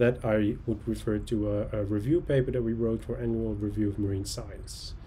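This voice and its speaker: A man at a medium pitch and moderate pace, with light background noise. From Netherlands (Texel); Netherlands. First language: Dutch. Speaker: oceanographer. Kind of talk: lecture. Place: home room. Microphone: webcam.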